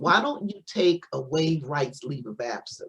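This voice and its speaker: Using very wide pitch swings, a woman with a fairly low pitch and an American accent speaks in a somewhat breathy voice. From Missouri, US Midwest. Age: 60s. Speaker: spiritual teacher, doctor of metaphysics. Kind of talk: interview testimony. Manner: halting, many repetitions.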